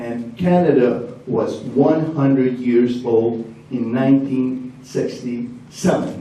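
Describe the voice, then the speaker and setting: A man talks with ordinary pitch variation. Noticeable background noise and audible room echo surround him. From Hungary. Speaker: shop owner and sponsor. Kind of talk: speech at an event. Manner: animated.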